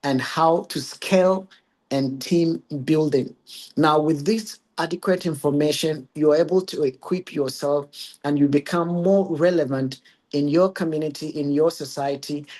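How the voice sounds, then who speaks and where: With a Ghanaian accent, the speaker goes at a fairly slow pace with fairly even intonation. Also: man, fairly high pitch for a man. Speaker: regional curator. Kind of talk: webinar presentation.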